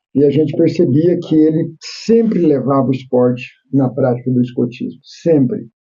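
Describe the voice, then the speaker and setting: This man has a normal speaking voice, pitched fairly high. His loudness stays very even, and his pitch variation is ordinary. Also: moderate pace. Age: 60s. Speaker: podcast host. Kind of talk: interview.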